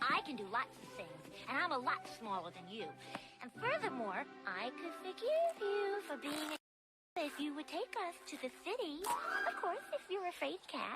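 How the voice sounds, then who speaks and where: A cartoonish character voice with a high pitch and very wide pitch swings moves at a moderate pace over loud music in the background. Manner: precise, prim.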